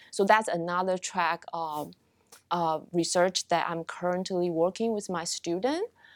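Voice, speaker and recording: A woman with a Taiwanese accent speaks in a fairly low voice with fairly even intonation. The recording is very clean, with a silent background. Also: fairly slow pace, dry, close sound with no echo. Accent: Taiwanese Mandarin-accented English. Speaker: marriage and family therapy professor. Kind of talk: interview. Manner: halting, many fillers.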